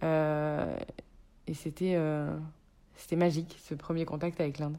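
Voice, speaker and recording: A woman's voice with a dark, mellow tone. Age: 30s. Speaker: chef and cookbook author. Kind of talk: casual chat.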